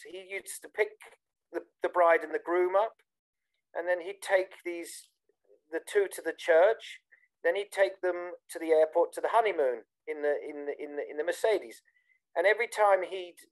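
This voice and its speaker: At a moderate pace, a man with a British accent and a high pitch speaks in a dry, close sound with no echo. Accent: very British. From southern England, Bournemouth. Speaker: techno DJ. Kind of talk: interview. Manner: hesitant, many fillers.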